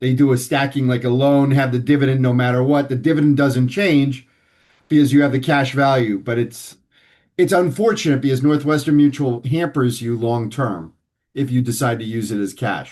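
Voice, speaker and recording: A man with an American accent and a plain, everyday voice speaks at medium pitch and a moderate pace, with ordinary pitch variation and a quiet background. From New York City (Manhattan). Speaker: financial advisor. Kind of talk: interview.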